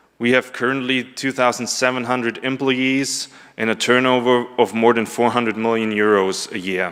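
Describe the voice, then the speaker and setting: A man with a German accent speaks at a fairly slow pace. His pitch is medium. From Germany. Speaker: conference presenter, business development manager. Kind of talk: conference presentation. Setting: conference room with audience. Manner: hesitant, many filler ums.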